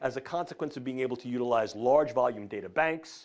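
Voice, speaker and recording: A man talks very fast in a New York accent. His pitch sits in the medium range. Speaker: professor. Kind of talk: lecture.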